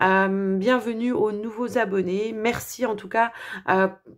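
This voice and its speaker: The speaker is a woman with fairly even intonation. She talks at a very slow pace. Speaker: tarot and oracle card reader. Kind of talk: astrology card reading. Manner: hesitant, many filler sounds.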